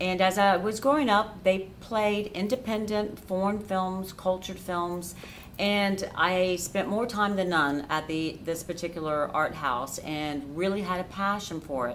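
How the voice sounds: A woman's fairly low, fairly bright voice in an American accent, at a fairly slow pace with few pauses and ordinary pitch variation.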